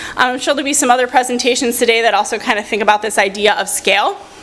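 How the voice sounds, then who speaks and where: Noticeable background noise sits behind a woman's high voice. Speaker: researcher and university lecturer. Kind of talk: conference presentation; audience Q&A answer. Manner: fast.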